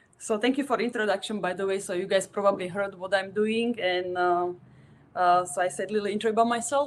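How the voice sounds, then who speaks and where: Very fast speech in a Slovak accent with fairly even intonation. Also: woman, medium pitch for a woman. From Slovakia. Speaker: tattoo artist. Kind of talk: presentation.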